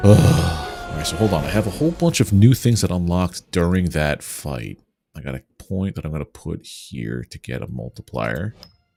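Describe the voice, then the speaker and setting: Music plays in the background as a man with an American accent speaks at a moderate pace, with hardly any pauses and in a very deep, low pitch. The sound is dry and close with no echo, while his pitch swings very widely and his loudness swings a lot. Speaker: gaming streamer. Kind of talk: live gameplay commentary. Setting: livestream.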